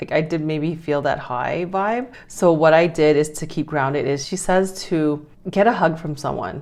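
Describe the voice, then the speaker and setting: This woman speaks with a very deep, low pitch and ordinary pitch variation. Her pace is moderate, with hardly any pauses. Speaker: self-help vlogger. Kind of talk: casual vlog. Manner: rambling, mumbling.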